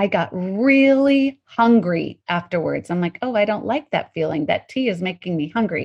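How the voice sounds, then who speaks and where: A woman speaks at a moderate pace with lively intonation and a somewhat breathy quality. The background is quiet. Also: medium pitch for a woman, hardly any pauses. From Colorado, US. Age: 50s. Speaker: intermittent fasting coach and author. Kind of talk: interview.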